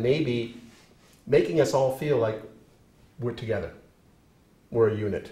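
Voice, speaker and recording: Audible room echo surrounds a somewhat breathy man speaking at a moderate pace. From New England (New Hampshire). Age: 60s. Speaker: professor. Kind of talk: lecture. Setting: classroom.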